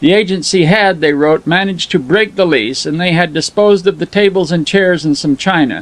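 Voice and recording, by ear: Reading aloud in a natural voice, with ordinary variation in pitch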